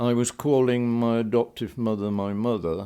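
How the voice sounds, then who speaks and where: The voice moves at a fairly slow pace with fairly even intonation. Its tone is dark and mellow. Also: man. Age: 80s+. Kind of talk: interview answer.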